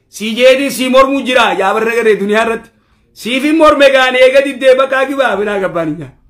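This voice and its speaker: A man speaks very fast with an extremely high pitch and a bright, sharp tone. His pitch varies in an ordinary way against a quiet background. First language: Oromo (speaking Arabic). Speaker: Islamic preacher. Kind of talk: Quran commentary lesson. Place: office.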